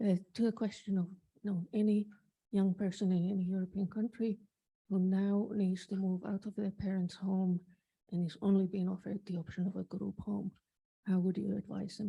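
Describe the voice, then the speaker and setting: A woman speaks at a moderate pace with medium pitch and a dark, mellow tone. Her delivery is somewhat breathy and monotone, with flat intonation. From Finland. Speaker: advocacy organization president. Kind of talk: audience question at conference.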